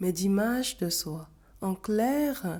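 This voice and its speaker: A woman talks at a very slow pace with a medium pitch and ordinary pitch variation. Her tone is dark and mellow, and the recording is very clean with a silent background. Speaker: self-help coach. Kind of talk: scripted talk to camera.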